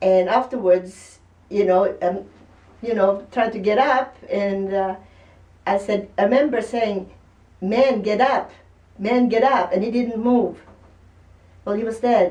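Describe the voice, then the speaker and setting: Her tone dark and mellow, a woman speaks fairly slowly at a fairly high pitch, with fairly even intonation and long, frequent pauses. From Norway. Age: 70s. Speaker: patient. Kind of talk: interview storytelling. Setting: doctor's office.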